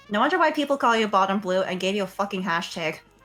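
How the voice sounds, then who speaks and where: With music in the background, a woman speaks with lively intonation. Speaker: streamer. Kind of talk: normal off-stream voice.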